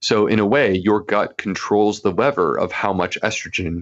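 A man speaks in a normal speaking voice. His pitch is fairly low, with ordinary pitch variation. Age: 40s. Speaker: gastroenterologist and author. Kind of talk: interview.

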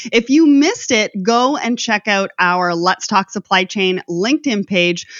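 Someone speaks at a fairly slow pace in a plain, everyday voice. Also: woman. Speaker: podcast host. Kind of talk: scripted intro and interview.

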